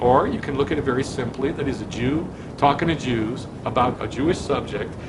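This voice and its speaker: Moderate pace from a man, audible room echo, noticeable background noise. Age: 60s. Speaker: rabbi. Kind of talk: sermon. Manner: animated.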